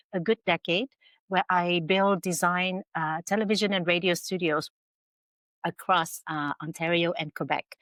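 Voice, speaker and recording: A plain, everyday voice at a moderate pace, dry and close with no echo, on a very clean recording with a silent background. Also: woman. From Canada (Vietnamese-born, arrived at age eight). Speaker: entrepreneur and filmmaker. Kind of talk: interview. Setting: podcast.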